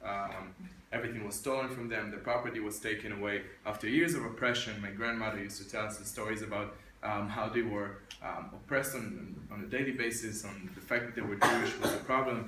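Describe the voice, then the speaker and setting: Amid noticeable background noise and audible room echo, a man speaks at a very fast pace with a fairly low pitch and fairly even intonation. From Israel, Petah Tikva. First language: Arabic. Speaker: military officer, speaker. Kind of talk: presentation. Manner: hesitant, many fillers.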